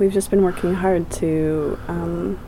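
With audible noise in the background, the delivery is fairly unhurried. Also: woman. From Britain. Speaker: garden program director. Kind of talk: interview. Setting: outdoors.

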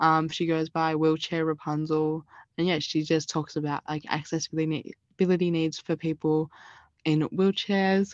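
Dry and close with no echo, a woman's very deep, low voice holds a monotone, flat intonation. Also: moderate pace. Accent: Australian. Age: 20s. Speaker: university student. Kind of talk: interview.

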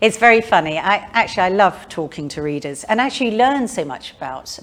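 The delivery comes in a southern English accent at a fairly quick pace. Its pitch swings very widely. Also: woman. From London, England. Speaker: author. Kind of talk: public talk and interview. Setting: museum event with live audience.

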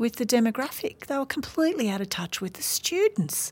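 Her fairly high voice carries lively intonation as this woman talks. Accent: Australian. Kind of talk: interview conversation.

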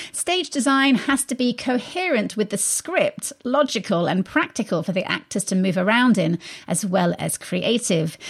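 A woman with an English accent speaks at a moderate pace, hardly pausing at all. Her fairly high, somewhat breathy voice makes very wide pitch swings. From England. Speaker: radio arts show host. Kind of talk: radio interview. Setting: studio.

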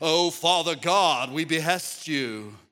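Putting on a character voice, a man speaks in a fairly high pitch with a solemn tone at a fairly slow pace. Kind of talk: archaic, churchy. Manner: affected, put-on solemn prayer tone.

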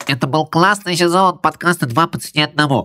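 In a put-on character voice, a nasal middle pitch comes through at a moderate pace. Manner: pinched-nose, comedic.

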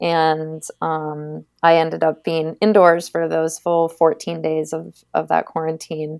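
In a very clean recording with a silent background, a woman with an American accent speaks at a very slow pace with hardly any pauses, her very deep, low pitch held in a monotone, flat intonation. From Maine, US. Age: 30s. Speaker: biathlete. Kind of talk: interview.

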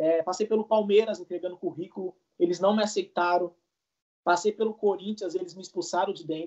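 A man speaks at a fairly quick pace in a high pitch. His intonation is monotone and flat. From Brazil, São Paulo state (Suzano). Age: 20s. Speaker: professional footballer. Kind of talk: interview.

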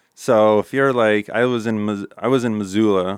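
A man's fairly low pitch at a moderate pace, with a Midwestern US accent. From Nebraska. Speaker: custom framing and furniture business owner. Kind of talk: casual interview.

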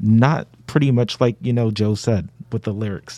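A man's dark, mellow tone with an American accent, moderate pace and ordinary pitch variation. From Brooklyn, New York. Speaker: social work undergraduate student. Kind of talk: casual chat.

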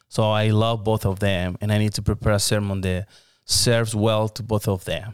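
A man with a Spanish accent speaks at a moderate pace in a fairly low pitch, his intonation flat and monotone, on a very clean recording with a silent background. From Mexico, Hermosillo. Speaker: pastor. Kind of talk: interview.

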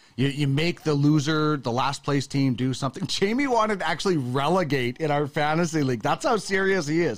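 A man's fairly high, normal speaking voice with a Canadian accent, fairly quick with hardly any pauses, very even loudness and ordinary pitch variation. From western Canada. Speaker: sports podcast host. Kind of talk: casual chat.

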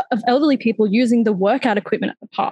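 The speaker has an Australian accent and talks at a very fast pace in a somewhat breathy voice. Intonation stays fairly even, and the sound is dry and close with no echo. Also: woman. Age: 20s. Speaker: lived experience advisor. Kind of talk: panel discussion. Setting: video call.

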